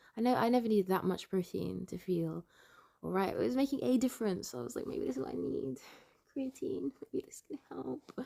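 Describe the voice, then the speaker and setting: The recording is dry and close, without echo. A woman talks. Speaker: vlogger. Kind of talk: casual vlog monologue. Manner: fast.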